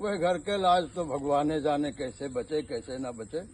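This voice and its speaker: A man is speaking. His intonation is lively. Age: 50s. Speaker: village storyteller. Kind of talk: folk storytelling.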